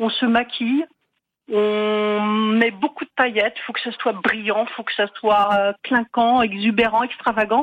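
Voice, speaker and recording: A woman's fairly high voice, an ordinary speaking voice, at a fairly slow pace with fairly even intonation. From Marne, France. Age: 50s. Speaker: caller. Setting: phone call.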